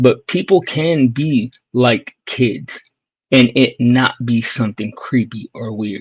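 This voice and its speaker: A man's voice comes across as somewhat breathy. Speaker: streamer. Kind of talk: casual chat.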